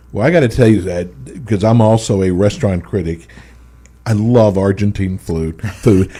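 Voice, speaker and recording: A man with an American accent, fairly low in pitch, with a dark, mellow tone. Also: ordinary pitch variation, moderate pace. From Texas. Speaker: radio host. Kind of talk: radio interview.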